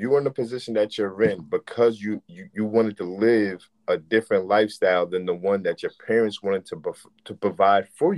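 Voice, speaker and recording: Using an ordinary speaking voice, a man talks at a fairly quick pace and fairly low pitch with hardly any pauses, ordinary pitch variation and big swings in loudness, the sound dry and close with no echo. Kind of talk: casual chat.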